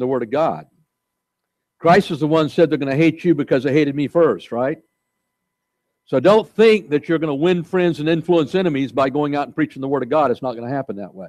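Against a quiet background, a man talks at a fairly quick pace with ordinary pitch variation and big swings in loudness. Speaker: pastor. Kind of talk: sermon. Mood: light humor within preaching. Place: church.

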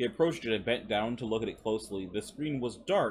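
The voice reads in a natural way.

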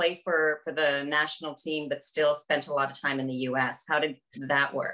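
A woman speaks with a Canadian accent. Her pace is moderate against a quiet background. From Canada. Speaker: podcast host, consultant; podcast host. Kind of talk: interview. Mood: warm, cheerful. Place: home room. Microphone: webcam.

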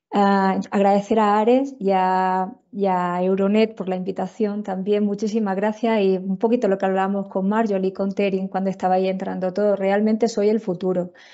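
A woman's flat monotone in an Andalusian accent, with hardly any pauses, over a quiet background. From Andalusia, Spain. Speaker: tropical medicine physician and researcher; presenter. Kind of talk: lecture. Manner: fast. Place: home room. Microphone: earbuds.

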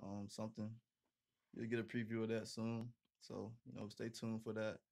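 This man speaks with a monotone, flat intonation. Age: 20s. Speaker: college football player; interview guest. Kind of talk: interview. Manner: casual, filler-heavy. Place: home room. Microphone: studio mic.

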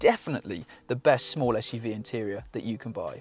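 A man at a fairly quick pace, in a dry sound with no echo. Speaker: car reviewer. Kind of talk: review presentation. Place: car. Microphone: lapel.

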